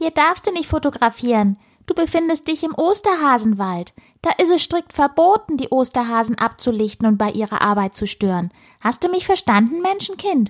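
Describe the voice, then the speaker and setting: This put-on character voice sounds female, squeaky and high-pitched, with very wide pitch swings at a moderate pace. The recording is very clean, with a silent background. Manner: stern, scolding.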